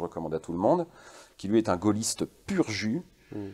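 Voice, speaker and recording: A man's tone is dark and mellow, with a quiet background behind him. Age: 40s. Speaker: guest. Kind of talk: interview. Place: studio. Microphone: lapel.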